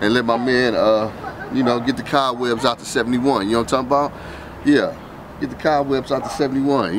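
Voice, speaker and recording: A man speaks at a fairly quick pace with ordinary pitch variation. Background noise is noticeable. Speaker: car channel host. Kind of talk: casual vlog chat. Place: street. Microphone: phone near.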